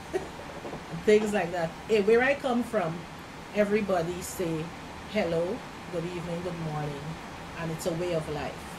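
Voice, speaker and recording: Amid noticeable background noise and audible room echo, a woman with a fairly low pitch speaks at a moderate pace with long, frequent pauses. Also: ordinary pitch variation. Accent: Guyanese. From Guyana. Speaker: immigrant interviewee. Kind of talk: interview. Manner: halting.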